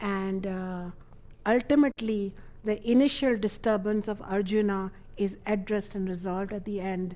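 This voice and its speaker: A woman speaks at a moderate pace with a dark, mellow tone and medium pitch. Her intonation is fairly even, and the recording is very clean with a silent background. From India (Ayodhya). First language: not English. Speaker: spiritual teacher. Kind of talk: lecture.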